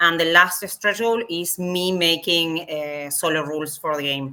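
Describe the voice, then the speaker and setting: In a Spanish accent, a woman speaks at a fairly slow pace with a fairly low pitch. Her tone is bright and sharp, her intonation fairly even. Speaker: game designer. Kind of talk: interview. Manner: halting, many fillers.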